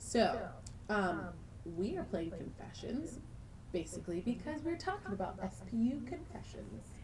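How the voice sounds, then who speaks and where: Very wide pitch swings are broken up by long, frequent pauses. Audible room echo and noticeable background noise come through. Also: woman, medium pitch for a woman, moderate pace. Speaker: college radio co-host. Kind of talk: casual chat. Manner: animated.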